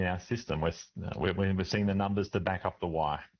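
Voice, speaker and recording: In an Australian accent, a man with a very deep, low pitch talks at a fairly quick pace with fairly even intonation. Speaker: doctor, medical association president. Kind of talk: radio interview answer.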